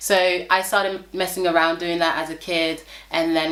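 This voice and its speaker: Her intonation monotone and flat, a woman with a fairly low pitch talks at a fairly quick pace amid audible room echo. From Senegal. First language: Wolof or French. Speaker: model and fashion designer. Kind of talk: interview.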